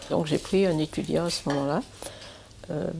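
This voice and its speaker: A woman's very deep, low voice moves at a moderate pace with ordinary pitch variation. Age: 80s+. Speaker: retiree sharing her home with a student. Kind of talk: documentary interview.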